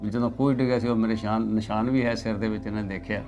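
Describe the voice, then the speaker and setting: A man at medium pitch, with audible room echo and music in the background. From East Punjab, Ludhiana district. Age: 80s+. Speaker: partition eyewitness. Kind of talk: oral history interview.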